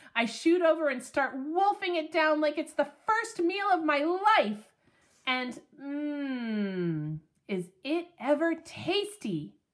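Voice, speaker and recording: A put-on character voice, high in pitch, at a very slow pace. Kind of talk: children's book read-aloud. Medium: read story. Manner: lively, expressive.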